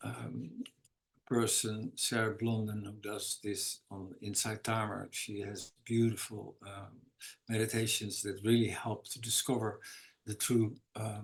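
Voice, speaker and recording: A somewhat breathy man's voice at a fairly slow pace, monotone and flat, with big swings in loudness. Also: fairly low pitch for a man. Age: 60s. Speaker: recovery meeting speaker. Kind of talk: testimony. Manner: halting.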